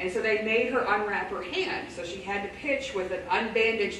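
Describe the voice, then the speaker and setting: Audible room echo with light background noise. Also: woman. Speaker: presenter. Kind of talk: lecture. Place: classroom. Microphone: camera far.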